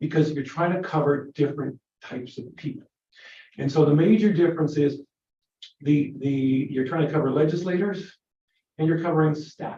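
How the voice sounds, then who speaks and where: With long, frequent pauses, a man speaks in a fairly high, somewhat breathy voice with a dark, mellow tone and fairly even intonation. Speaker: legislator. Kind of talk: committee briefing. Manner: fast.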